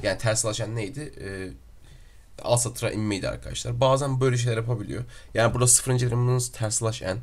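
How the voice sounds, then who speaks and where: Somewhat breathy and fairly quick, a man speaks at medium pitch with fairly even intonation amid audible room echo. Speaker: programming tutorial teacher. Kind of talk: tutorial. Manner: frequent filler hesitations.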